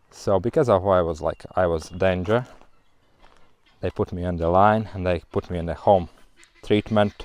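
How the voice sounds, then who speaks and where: Very deep, low-pitched male speech with fairly even intonation, delivered at a moderate pace. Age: 40s. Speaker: vlogger. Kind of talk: personal testimony. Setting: outdoors, running. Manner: halting.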